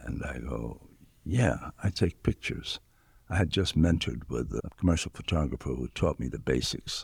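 With vocal fry and ordinary pitch variation, a man talks at a moderate pace. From New York City, South Bronx. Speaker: photographer. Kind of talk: interview. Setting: art museum.

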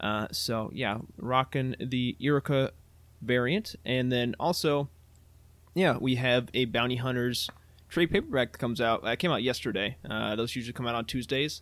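A man with an unremarkable speaking voice talks at a moderate pace and medium pitch, with ordinary pitch variation. The recording is very clean with a silent background. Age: 20s. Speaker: podcast co-host and producer. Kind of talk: casual chat.

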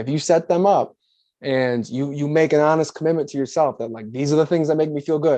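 Against a quiet background, a man with a plain, everyday voice speaks at a fairly quick pace, his fairly high pitch carrying fairly even intonation. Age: 20s. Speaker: life coach. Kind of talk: casual chat.

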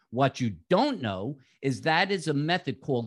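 In a New York accent, a man of medium pitch speaks at a fairly slow pace against a quiet background. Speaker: physical therapist and author. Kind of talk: interview. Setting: remote call.

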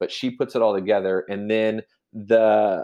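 A man talks in a medium-pitched voice. The background is quiet. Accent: Midwestern American. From Kansas, US Midwest. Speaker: realtor. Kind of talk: casual interview chat.

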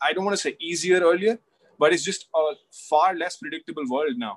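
A man speaking with an Indian accent. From India, Delhi. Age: 20s. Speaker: author. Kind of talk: casual chat.

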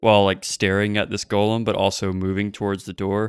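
At a moderate pace, a man speaks in a fairly low voice, the sound dry and close with no echo on a very clean recording against a silent background. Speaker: podcast co-host and roleplaying game player. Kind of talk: casual roleplaying game chat.

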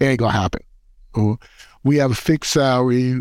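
A man with a New York accent, medium in pitch with ordinary pitch variation, in a very clean recording with a silent background. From New York City, the Bronx. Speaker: city youth agency commissioner, former basketball player. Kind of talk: interview by a middle-school student.

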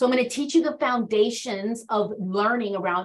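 In an unremarkable speaking voice with an American accent, the speaker talks at a moderate pace with ordinary pitch variation. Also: woman. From Washington, D.C., with North Carolina grandparents. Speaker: executive coach. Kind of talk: casual chat.

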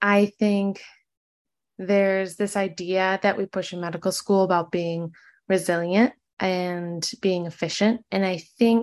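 Over a quiet background, a woman with an American accent talks at a moderate pace in an unremarkable speaking voice of medium pitch. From Michigan. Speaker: medical student. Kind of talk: interview conversation.

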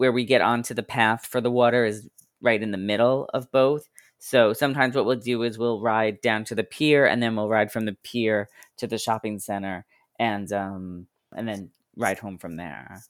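On a very clean recording with a silent background, a man with an American accent speaks in an unremarkable speaking voice at medium pitch, moderate pace, and fairly even intonation. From US Northeast (Long Island, New York). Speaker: blogger and podcast interviewer. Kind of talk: interview conversation.

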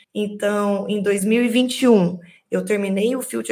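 At a fairly slow pace, a woman with a plain, everyday voice talks at medium pitch with ordinary pitch variation. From Minas Gerais, small town. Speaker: technical director. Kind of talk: interview.

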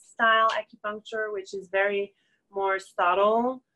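At a fairly slow pace, a woman with a medium pitch and a bright, sharp tone speaks with fairly even intonation in a dry, close sound with no echo. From Quebec, Montreal. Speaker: acupuncturist. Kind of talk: interview, personal testimony. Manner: halting, many fillers.

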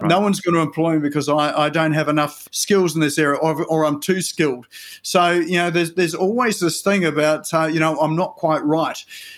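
A man with a normal speaking voice talks at a fairly quick pace in a fairly high pitch, with hardly any pauses and very even loudness. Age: 50s. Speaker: web developer and digital marketing business owner. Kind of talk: interview conversation. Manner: frequent fillers and repetitions.

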